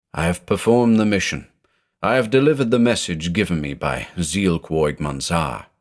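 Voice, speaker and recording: A man puts on a booming, resonant character voice with a very deep, low pitch at a moderate pace, in a very clean recording with a silent background. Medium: read story. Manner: solemn, sonorous, oracular.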